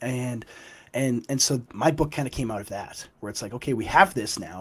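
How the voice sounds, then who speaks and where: A man speaks at a medium pitch and a moderate pace. His voice is somewhat breathy, with ordinary pitch variation. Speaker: author. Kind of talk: podcast interview.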